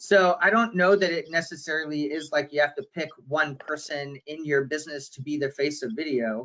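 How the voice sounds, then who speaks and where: Loud and bright with a sharp tone, a man talks at a fairly high pitch with hardly any pauses. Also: ordinary pitch variation, moderate pace. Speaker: digital marketing consultant. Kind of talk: webinar discussion.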